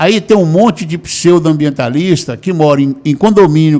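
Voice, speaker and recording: Lively intonation colors the high-pitched speech of a man. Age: 60s. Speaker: lawyer and activist. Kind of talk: interview. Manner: halting, many filler words.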